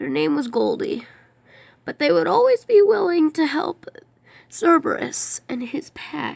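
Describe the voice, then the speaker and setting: A put-on character voice, high in pitch, is delivered at a fairly slow pace. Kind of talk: storytelling to children.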